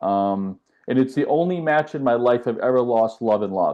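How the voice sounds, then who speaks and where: A man with a plain, everyday voice and a medium pitch talks at a moderate pace with ordinary pitch variation. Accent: American. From US South (west coast of Florida, Tampa Bay). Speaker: tennis coach. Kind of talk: podcast interview. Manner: casual, with filler words.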